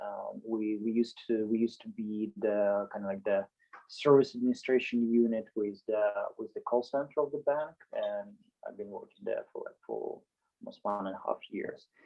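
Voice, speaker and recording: A man speaks at a moderate pace with big swings in loudness while music plays in the background. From Ukraine, Dnipro. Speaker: software engineer turned soldier. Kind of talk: interview. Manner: halting, many fillers and repeats.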